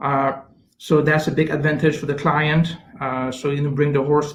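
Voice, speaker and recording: Monotone, flat intonation marks this somewhat breathy voice. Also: man. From Canada. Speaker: chief science officer, scientist. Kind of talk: interview answer.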